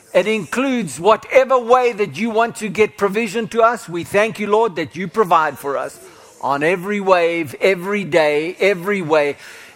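A man with a high voice and lively intonation speaks at a moderate pace against noticeable background noise. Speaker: pastor. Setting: church with congregation. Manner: exuberant, punctuated by shouted hallelujahs and praise interjections; rising, declamatory prayer cadence with repeated emphatic words (never, never, never).

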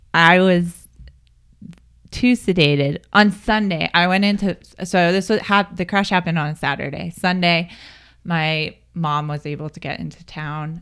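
A woman with an American accent uses an ordinary speaking voice at a fairly low pitch, a fairly slow pace and ordinary pitch variation. Her loudness swings widely, and the recording is very clean with a silent background. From Pennsylvania, US. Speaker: triathlete and crash survivor. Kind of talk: interview, personal testimony.

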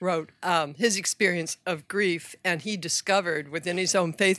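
Speaking at a fairly quick pace, a woman with an unremarkable speaking voice and fairly low pitch keeps a fairly even intonation in a very clean recording with a silent background. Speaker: audience member asking questions. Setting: live event audience question.

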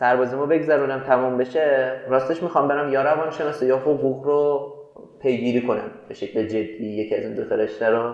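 A man talks at a fairly quick pace, medium in pitch with ordinary pitch variation. Audible room echo and noticeable background noise come through. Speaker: tech startup co-founder and CTO. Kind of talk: interview conversation. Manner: casual, animated.

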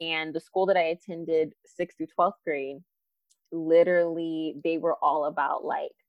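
A woman with an American accent and fairly low pitch, in an ordinary speaking voice. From Arizona, South Phoenix. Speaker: educator and leadership coach. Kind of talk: casual interview chat.

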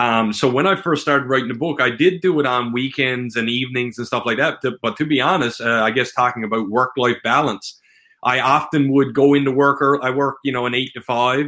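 With a Newfoundland accent, a man speaks in a fairly even tone and hardly pauses at all. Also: medium pitch for a man, fairly quick pace. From central Newfoundland. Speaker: self-published author. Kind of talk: interview.

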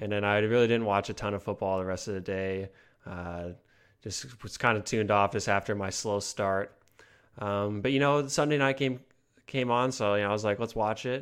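A man speaks at a moderate pace with a fairly low pitch and ordinary pitch variation. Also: quiet background. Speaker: fantasy football podcast co-host. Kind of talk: casual chat. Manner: rambling.

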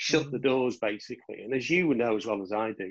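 In a plain, everyday voice, a man with a medium pitch and ordinary pitch variation talks at a moderate pace. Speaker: LEP chair. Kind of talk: moderated panel discussion. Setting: video call.

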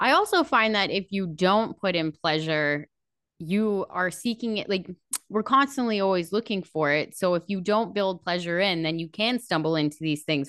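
In an ordinary speaking voice, a woman talks at a medium pitch and a moderate pace with lively intonation. The sound is dry and close with no echo, and the background is quiet. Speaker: podcast host. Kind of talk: casual interview chat.

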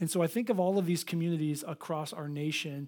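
A man with a high pitch and ordinary pitch variation speaks on a very clean recording with a silent background. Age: 40s. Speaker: pastor. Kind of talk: sermon. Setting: church. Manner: animated.

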